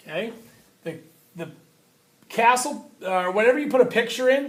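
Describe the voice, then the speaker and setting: A man speaks loudly with lively intonation. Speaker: teacher. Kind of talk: tutorial.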